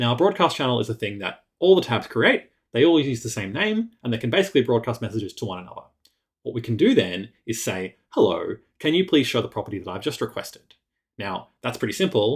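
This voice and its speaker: A man speaks at a very fast pace with a medium pitch. His voice is somewhat breathy and swings very widely in pitch. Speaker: web developer. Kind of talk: tutorial. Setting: screencast.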